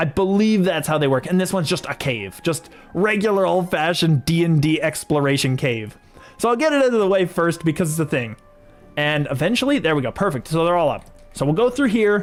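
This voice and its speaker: A man speaks at a moderate pace with a high pitch and lively intonation. Music plays in the background. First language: French. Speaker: video game streamer. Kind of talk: live gameplay commentary. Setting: livestream. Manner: stutter; casual and chatty.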